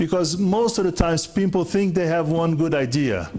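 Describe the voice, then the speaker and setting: A man with a non-native accent speaks in a high pitch. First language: not English. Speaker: conference speaker on lean management. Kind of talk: conference Q&A.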